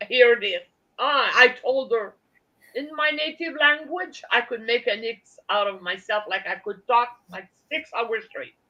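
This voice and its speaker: A woman's high-pitched voice in a Quebec accent, bright and sharp in tone, with lively intonation, big swings in loudness and a fairly slow pace. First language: French. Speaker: livestream guest. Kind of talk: casual chat. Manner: halting.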